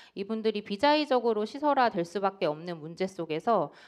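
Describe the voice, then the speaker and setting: A woman speaks at a fairly quick pace. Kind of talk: panel discussion statement. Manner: fast.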